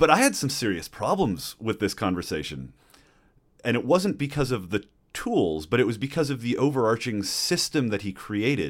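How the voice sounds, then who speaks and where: A man's medium-pitched voice with vocal fry and very wide pitch swings, at a moderate pace, on a very clean recording with a silent background. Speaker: podcast co-host. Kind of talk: casual discussion.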